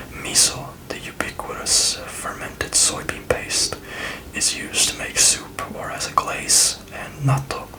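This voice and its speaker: A woman's fairly slow whisper is heard through noticeable background noise. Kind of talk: travel guide reading. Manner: whispered, soft-spoken.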